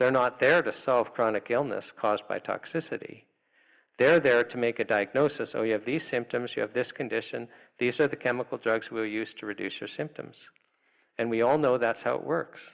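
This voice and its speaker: A man speaks in a normal speaking voice with a Canadian accent. His pitch is medium and his pace moderate. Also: ordinary pitch variation, very clean recording, silent background. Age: 60s. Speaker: health freedom advocate. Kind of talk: public talk.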